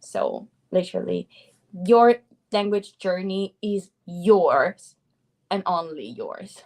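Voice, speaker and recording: At a very slow pace, the voice shows big swings in loudness and long, frequent pauses, with a dry, close sound and no echo. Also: woman. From Italy. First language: Italian. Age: 20s. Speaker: polyglot language coach. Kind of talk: casual interview on a livestream. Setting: livestream.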